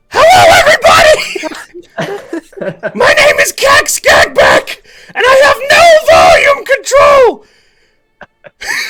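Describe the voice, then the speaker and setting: Shouting in a put-on character voice at an extremely high pitch, the speaker goes at a very slow pace. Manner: loud, no volume control.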